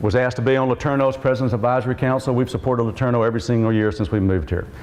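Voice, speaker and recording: Noticeable noise in the background behind a man speaking at medium pitch. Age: 60s. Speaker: mayoral candidate and city council member. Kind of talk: political debate. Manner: earnest, direct address to audience.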